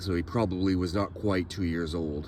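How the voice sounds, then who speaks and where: In a Maine accent, a somewhat breathy man speaks at a moderate pace with a very deep, low pitch and fairly even intonation. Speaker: genealogy and cemetery vlogger. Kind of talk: casual walking vlog. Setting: outdoors in a cemetery.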